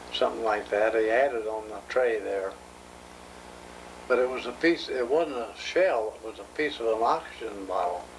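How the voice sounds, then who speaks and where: A man's loudness swings widely, with audible room echo and noticeable background noise around him. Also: medium pitch for a man, ordinary pitch variation, moderate pace. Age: 70s. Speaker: war veteran. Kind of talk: oral history interview. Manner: halting.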